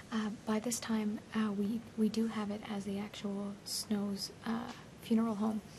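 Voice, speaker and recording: Against noticeable background noise, a woman speaks fairly slowly at a fairly high pitch in a monotone, flat intonation. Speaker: TV host. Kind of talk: TV history show presentation. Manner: quiet.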